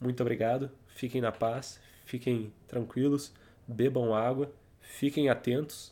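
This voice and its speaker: A man with a Brazilian accent speaks at a very slow pace, his medium-pitched voice dark and mellow in tone. His intonation stays flat and monotone over a very clean recording with a silent background. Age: 20s. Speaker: podcast host. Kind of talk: casual monologue.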